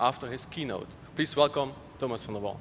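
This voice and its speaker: Speaking at a fairly quick pace, a man with a Dutch accent uses lively intonation. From Netherlands. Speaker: conference session chair. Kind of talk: speaker introduction.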